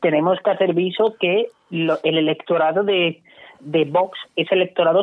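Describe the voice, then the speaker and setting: A man with a high pitch speaks at a moderate pace, keeping his intonation fairly even. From Cádiz province, Andalusia (sierra). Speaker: political commentator. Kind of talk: radio panel discussion.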